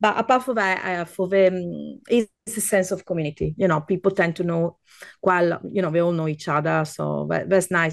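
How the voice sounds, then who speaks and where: A woman with an Italian accent, fairly low pitch and ordinary pitch variation at a moderate pace. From Veneto, Italy. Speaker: food guide and podcaster. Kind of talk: casual interview chat.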